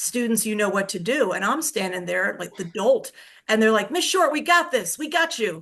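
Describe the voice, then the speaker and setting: Against a quiet background, a woman with an American accent speaks at a fairly high pitch with very wide pitch swings. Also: moderate pace. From Pennsylvania. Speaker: retired teacher. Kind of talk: podcast interview. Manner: soft-spoken.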